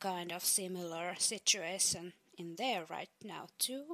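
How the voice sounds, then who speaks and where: A woman speaks with a Finnish accent. Her pace is very slow. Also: very clean recording, silent background. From Finland. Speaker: fact segment presenter. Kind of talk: casual informative segment.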